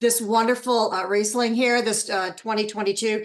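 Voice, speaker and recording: A woman at medium pitch talks in an animated tone at a fairly quick pace. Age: 60s. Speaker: podcast host. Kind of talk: casual chat.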